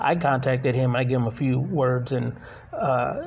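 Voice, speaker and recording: There is noticeable background noise as the man talks at a medium pitch. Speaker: podcast co-host. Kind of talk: casual interview chat. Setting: on location in a shop.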